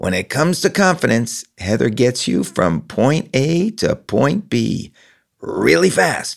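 Very slow speech from a man at medium pitch, with vocal fry and very wide pitch swings. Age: 60s. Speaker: podcast host, journalist. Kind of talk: interview conversation; scripted narration.

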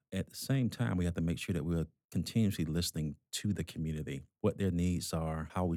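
On a very clean recording with a silent background, a man talks at a very fast pace in a dark, mellow tone with a very deep, low pitch. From US South, Georgia. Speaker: hospital executive. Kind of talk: interview conversation.

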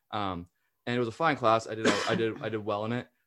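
On a very clean recording with a silent background, a man with an American accent speaks at a very fast pace with fairly even intonation. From northern US. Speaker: student podcast host. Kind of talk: casual chat.

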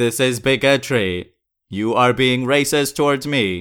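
A man puts on a robotic character voice at a medium pitch, speaking at a fairly slow pace. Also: very clean recording, silent background. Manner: robotic, monotone.

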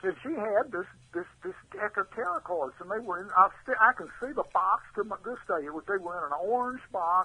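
A high-pitched man with a Texan accent, his voice raised and projected, at a moderate pace. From Texas, Houston. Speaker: artist. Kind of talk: interview storytelling.

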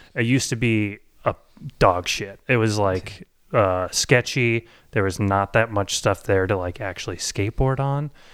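On a very clean recording with a silent background, a man with an American accent has an ordinary speaking voice, a fairly low pitch, ordinary pitch variation and a moderate pace. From Boise, Idaho. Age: 30s. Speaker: podcast producer and comedian. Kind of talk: personal storytelling.

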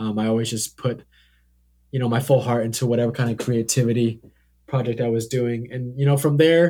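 In a very clean recording with a silent background, a man with an American accent speaks at medium pitch in a dark, mellow tone with fairly even intonation. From Oregon, US (Hillsboro). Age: young. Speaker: student and videographer. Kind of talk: casual interview chat. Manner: hesitant, many fillers.

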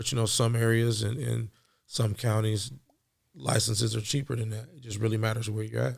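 Speaking at a fairly quick pace, a man with a medium pitch sounds somewhat breathy and keeps his intonation fairly even. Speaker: podcast co-host, cannabis entrepreneur. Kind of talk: casual chat. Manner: laid-back.

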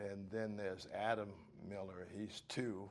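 A man's fairly low voice in an American accent, at a very slow pace. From US South, Florida (Martin County). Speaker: oral history interviewee. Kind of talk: oral history interview.

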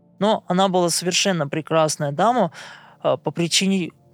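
A man's voice with ordinary pitch variation in a dry, close sound with no echo. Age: 30s. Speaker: blind massage therapist. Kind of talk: interview monologue.

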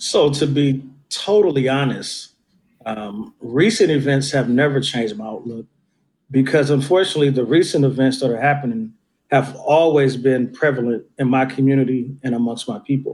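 This is a plain, everyday voice from a man with an American accent. He speaks at a moderate pace and medium pitch with ordinary pitch variation. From Oakland, California (East Oakland). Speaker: community mentor, professional. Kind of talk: interview conversation.

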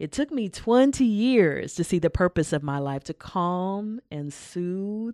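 A woman with a fairly low pitch talks at a very slow pace, her pitch swinging very widely, in a dry, close sound with no echo on a very clean recording with a silent background. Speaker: poet and performer. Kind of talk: casual interview.

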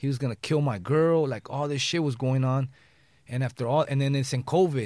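In an American accent, a man talks at a fairly quick pace with an ordinary speaking voice, a fairly high pitch and fairly even intonation. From Los Angeles, West Side. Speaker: rapper. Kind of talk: casual chat. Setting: studio.

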